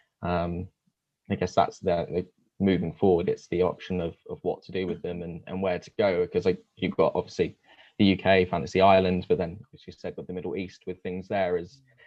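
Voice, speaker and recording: Fairly quick, monotone, flat delivery in a London accent, with big swings in loudness. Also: man, very deep, low pitch for a man. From London area. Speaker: theme park enthusiast interviewer. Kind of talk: podcast interview.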